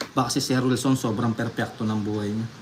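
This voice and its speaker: Over noticeable background noise, a man speaks at a moderate pace in a monotone, flat intonation. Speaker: livestreamer playing card games. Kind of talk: live stream chat. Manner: trembling.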